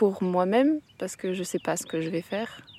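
A woman's voice sits at a medium pitch and keeps a moderate speed. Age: 20s. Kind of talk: casual description while hiking. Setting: outdoors.

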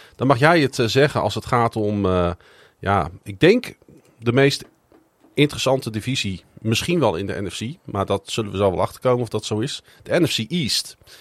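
A man with a plain, everyday voice at medium pitch speaks with lively intonation on a very clean recording with a silent background. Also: moderate pace. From Netherlands, Groningen. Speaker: podcast host. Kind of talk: casual chat.

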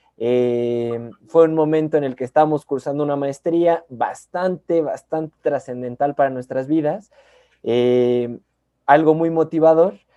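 Speaking at a fairly slow pace with a Mexican accent, a man has a fairly high pitch, a dark, mellow tone and ordinary pitch variation, in a dry, close sound with no echo. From Mexico. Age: 20s. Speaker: podcast co-host, clinical psychologist. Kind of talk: casual chat.

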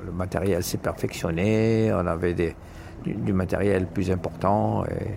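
A man talks slowly, at a fairly slow pace, in a very deep, low pitch with ordinary pitch variation. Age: 70s. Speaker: underwater archaeology diver and instructor. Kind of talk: interview testimony.

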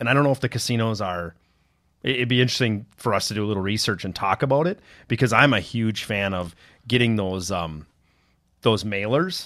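A man with an Upper Midwest accent at medium pitch, fairly quick, with ordinary pitch variation, on a very clean recording with a silent background. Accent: Upper Midwest American. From northern Minnesota. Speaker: podcast co-host, IT professional. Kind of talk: casual chat. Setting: studio.

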